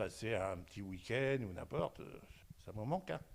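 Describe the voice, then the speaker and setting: A man at a moderate pace. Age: 70s. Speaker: nursing home resident. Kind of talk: interview testimony. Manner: halting, with many hesitations.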